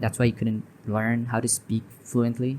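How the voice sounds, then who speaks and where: With a Bangladeshi accent, a man talks at medium pitch and a moderate pace. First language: Bengali. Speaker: English teacher. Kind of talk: tutorial. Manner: halting.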